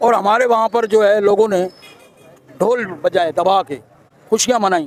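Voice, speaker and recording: This man's voice is high in pitch with ordinary variation, and noticeable background noise accompanies him. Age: 60s. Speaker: street interviewee. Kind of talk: street interview.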